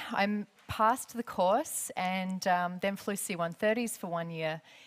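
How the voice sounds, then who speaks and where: Moderate pace and ordinary pitch variation, with an Australian accent. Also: woman. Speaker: aerospace engineer and former air force pilot. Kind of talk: lecture. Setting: stage with audience. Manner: loud.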